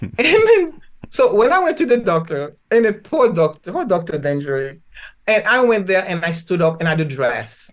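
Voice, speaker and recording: A woman speaks at a medium pitch and moderate pace in a Haitian accent. Her tone is animated, with very wide pitch swings. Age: 70s. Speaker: physician and spiritual healer. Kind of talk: podcast interview.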